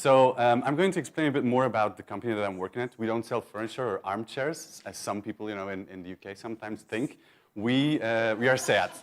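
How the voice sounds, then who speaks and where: Speaking at a very fast pace, a man with a Belgian accent has a medium pitch and ordinary pitch variation. His loudness swings widely. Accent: Belgian accent, noticeable. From Belgium. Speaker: conference speaker, search marketing manager. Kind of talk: conference talk. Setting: stage with audience. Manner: casual, with many fillers and repetitions.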